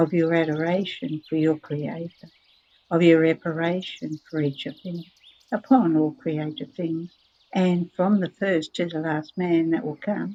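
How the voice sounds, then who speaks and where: Soft-spoken and at a fairly slow pace, a woman talks in a fairly low voice with fairly even intonation. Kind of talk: religious reading, devotional text read aloud. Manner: very quiet, soft-spoken.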